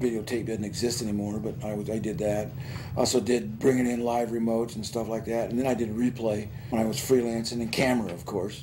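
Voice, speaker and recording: With noticeable background noise and audible room echo, a man speaks at a very fast pace in a medium pitch with fairly even intonation. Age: 60s. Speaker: retiring broadcasting teacher, Vietnam veteran. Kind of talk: news interview. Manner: halting.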